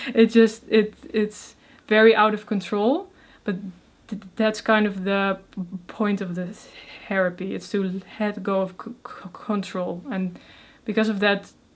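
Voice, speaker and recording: A woman's medium-pitched voice with a Dutch accent, fairly slow, in a monotone, flat delivery. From Netherlands. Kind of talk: interview answer. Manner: stuttering.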